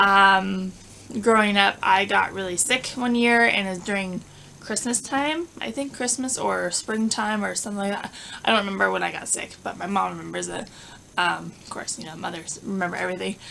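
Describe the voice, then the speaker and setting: A mumbling woman with an American accent, at a moderate pace, with big swings in loudness and noticeable background noise. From Southern California. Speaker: lifestyle vlogger. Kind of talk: casual chat. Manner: halting.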